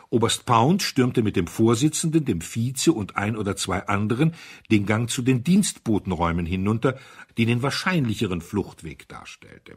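A man speaks at a moderate pace with few pauses, lively intonation and a fairly low pitch. His voice has a husky, rough edge, captured in a very clean recording with a silent background.

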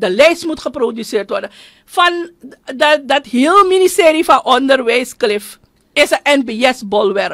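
Against a quiet background, the speaker moves at a fairly slow pace with lively intonation. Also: woman. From Suriname. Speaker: politician and union leader; politician. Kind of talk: radio interview. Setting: studio. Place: studio. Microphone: studio mic.

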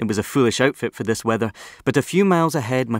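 The background stays quiet. With ordinary pitch variation, a man speaks at a very fast pace. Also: dry sound with no echo. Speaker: audiobook narrator. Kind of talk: audiobook narration. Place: booth. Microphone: studio mic.

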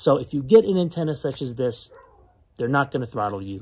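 This voice belongs to a man. It has a somewhat breathy quality. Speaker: tech hobby vlogger. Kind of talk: casual vlog chat. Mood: friendly, upbeat. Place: open country. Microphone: phone near.

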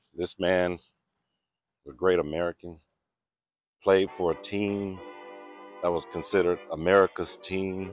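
With faint music in the background and a dry sound with no echo, a man with a very deep, low pitch talks at a fairly slow pace in a monotone, flat intonation, leaving long, frequent pauses. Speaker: vlogger visiting a grave. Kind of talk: casual vlog chat. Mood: reflective, respectful. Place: open country. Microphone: phone near.

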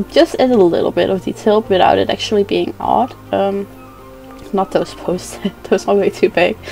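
Over music in the background, a woman with a Dutch accent talks at a moderate pace. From Netherlands. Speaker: video game builder. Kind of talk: casual gameplay commentary. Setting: gaming headset microphone. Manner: hesitant, many fillers.

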